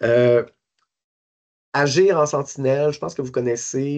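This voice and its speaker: A man's medium-pitched voice with ordinary pitch variation and a fairly slow pace, over a quiet background. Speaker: suicide prevention service coordinator. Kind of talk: lecture. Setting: conference talk to hospital staff. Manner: halting, many fillers and repetitions.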